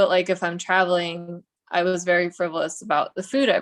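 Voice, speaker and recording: A woman with an American accent speaks at a fairly quick pace in an ordinary speaking voice, her pitch medium. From Russia, moved to US as child. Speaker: realtor. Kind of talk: casual interview chat.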